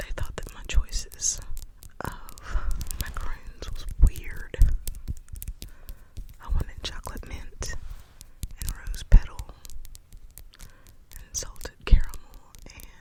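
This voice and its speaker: A woman whispers very slowly, leaving long, frequent pauses as her loudness swings widely. Noticeable background noise can be heard. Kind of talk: ASMR whispered rambling to camera. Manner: whispered, soft-spoken.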